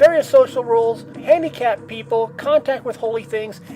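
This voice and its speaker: With lively intonation, a woman talks while music plays behind her. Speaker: atheist Bible study host. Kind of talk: casual commentary narration. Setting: home microphone with poor audio quality.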